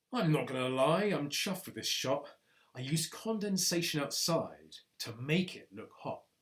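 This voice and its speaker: In a gruff, put-on character voice of middle pitch, the speaker delivers lines at a moderate pace. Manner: snobby.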